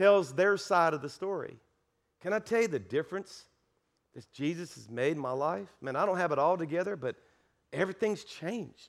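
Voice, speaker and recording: On a very clean recording with a silent background, a man with an American accent speaks at a high pitch and a moderate pace, with lively intonation and big swings in loudness. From South Louisiana (Cajun). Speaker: pastor. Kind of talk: sermon. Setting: church with congregation. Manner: animated.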